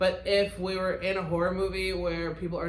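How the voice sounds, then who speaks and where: Speaking at a moderate pace with a slight Midwestern accent, this voice comes through noticeable background noise and audible room echo. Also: woman. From US Midwest, outside Detroit. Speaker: podcast co-host, record label co-owner. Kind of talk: casual chat.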